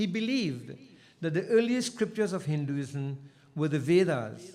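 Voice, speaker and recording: A man with a fairly high voice and a dark, mellow tone speaks at a moderate pace with lively intonation. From Trinidad and Tobago. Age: 70s. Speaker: invited speaker at school anniversary. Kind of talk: ceremonial speech. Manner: formal.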